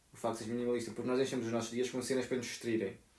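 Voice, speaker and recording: This man's voice sits at a medium pitch. He talks very fast. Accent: European Portuguese. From Portugal. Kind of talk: casual chat.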